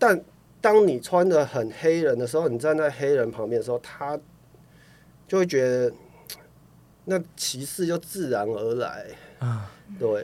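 A fairly high-pitched man at a fairly slow pace, lively intonation, long and frequent pauses. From Taiwan, Taichung. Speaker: rapper and singer-songwriter. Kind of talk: interview.

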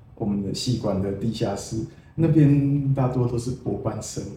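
There's audible room echo around a man whose dark, mellow tone is somewhat breathy, with ordinary pitch variation. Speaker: poet. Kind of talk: casual interview.

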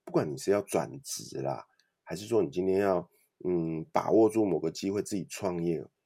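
A man speaks at a moderate pace with a very deep, low pitch and a dark, mellow tone with vocal fry. The recording is very clean with a silent background. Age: 40s. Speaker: author and podcaster. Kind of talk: interview.

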